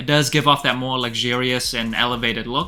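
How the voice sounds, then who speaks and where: Over music in the background, a man with a non-native accent speaks fairly quickly at a medium pitch with monotone, flat intonation. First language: not English. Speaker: sneaker reviewer. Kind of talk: product review. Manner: casual.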